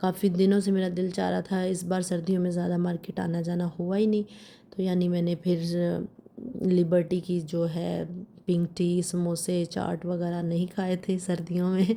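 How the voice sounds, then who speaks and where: A woman's dark, mellow, fairly low voice, monotone and flat, at a fairly slow pace. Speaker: vlogger. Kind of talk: vlog voiceover narration.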